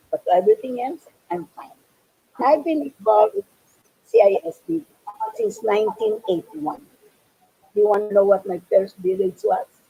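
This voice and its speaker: A woman with a fairly high, somewhat breathy voice speaks at a moderate pace with lively intonation, big swings in loudness and long, frequent pauses, in a dry, close sound with no echo. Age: 80s+. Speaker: youth camp volunteer veteran. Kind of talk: interview.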